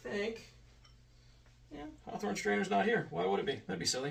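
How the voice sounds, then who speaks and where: A man's voice with audible room echo. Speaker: home bartender YouTuber. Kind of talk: casual drink-making tutorial. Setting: home bar in front of whiskey shelf. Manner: fast; animated.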